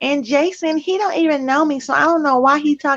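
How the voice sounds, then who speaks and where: A whiny put-on character voice from a woman, high-pitched, fairly quick, with fairly even intonation and very even loudness. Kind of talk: casual, colloquial.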